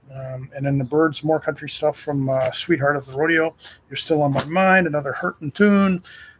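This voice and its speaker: This man has a fairly high, somewhat breathy voice. He speaks at a moderate pace. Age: 60s. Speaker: radio host. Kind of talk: casual show preview ramble. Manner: halting, many fillers.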